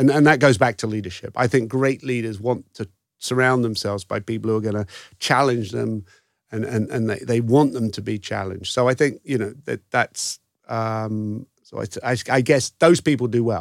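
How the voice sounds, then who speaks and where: A man with an American accent speaks at a medium pitch and a moderate pace, his intonation fairly even. The recording is very clean with a silent background and a dry, close sound with no echo. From England, London. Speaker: former psychiatrist and pharmaceutical executive. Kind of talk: interview. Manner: halting.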